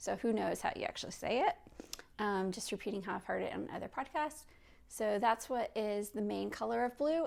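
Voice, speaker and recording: A woman with a fairly high pitch and a relaxed tone speaks with an American accent in a very clean recording with a silent background. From US Midwest. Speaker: knitting podcaster and designer. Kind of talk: casual video podcast. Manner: relaxed, unscripted with many fillers.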